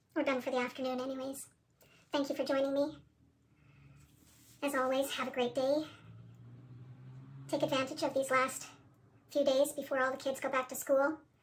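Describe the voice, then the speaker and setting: A woman's high, monotone, flat voice at a fairly quick pace, broken by long, frequent pauses. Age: 60s. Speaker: painter. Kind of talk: tutorial; casual chat. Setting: art studio.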